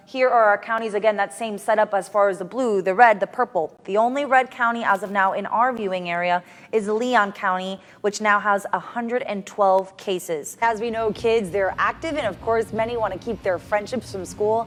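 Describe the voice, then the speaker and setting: This woman has an unremarkable speaking voice, pitched fairly high, with ordinary pitch variation and a moderate pace. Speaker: TV news anchor and reporter. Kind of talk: TV news anchor reel.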